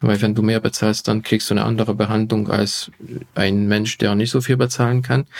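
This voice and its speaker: A man with a Hungarian accent, fairly low in pitch, at a moderate pace and with fairly even intonation. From Hungary. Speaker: physician and health YouTuber. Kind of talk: podcast interview.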